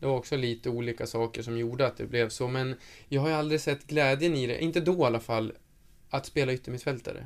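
A man's medium-pitched voice at a very fast pace, with fairly even intonation and a very clean recording over a silent background. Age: 20s. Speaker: professional footballer. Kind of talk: interview.

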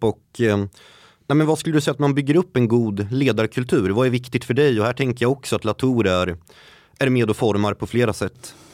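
A man with a normal speaking voice talks at a moderate pace, his pitch medium and its variation ordinary. The recording is very clean with a silent background, and the sound is dry and close with no echo. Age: 20s. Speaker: podcast host. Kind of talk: interview. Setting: studio.

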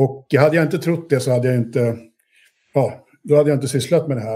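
A man talks at a fairly quick pace, his fairly high voice dark and mellow in tone, somewhat breathy, with ordinary pitch variation. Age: 50s. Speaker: investor, entrepreneur. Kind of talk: interview.

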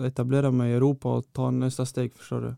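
The sound is dry and close with no echo as a man speaks at a medium pitch. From Malmö, southern Sweden. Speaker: professional footballer. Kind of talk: interview. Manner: halting.

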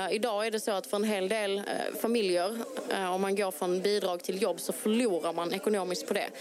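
Over noticeable background noise, a woman with a medium pitch talks at a moderate pace with fairly even intonation. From Malmö, southern Sweden. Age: 30s. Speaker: local politician. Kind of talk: interview. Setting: outdoor election booth on a town square.

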